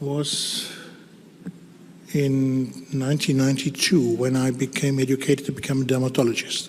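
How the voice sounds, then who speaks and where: A man speaks with a German accent and a fairly high pitch. Noticeable background noise runs underneath. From Germany. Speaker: dermatologist. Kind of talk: conference talk. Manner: halting.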